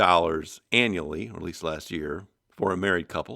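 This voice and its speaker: Over a silent background in a very clean recording, a man speaks at a moderate pace with a very deep, low pitch. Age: 60s. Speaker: podcast host answering listener emails. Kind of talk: casual explanatory podcast talk.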